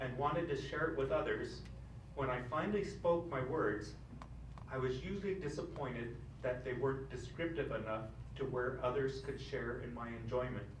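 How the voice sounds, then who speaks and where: A man speaks at a medium pitch. Noticeable background noise and audible room echo surround him. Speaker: stroke survivor with aphasia, keynote speaker. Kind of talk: speech. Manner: halting.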